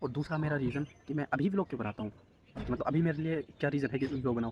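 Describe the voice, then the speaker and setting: A man talks with an ordinary speaking voice. His pitch is fairly high, with ordinary variation. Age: 20s. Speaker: vlogger. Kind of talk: casual vlog monologue. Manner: casual, conversational.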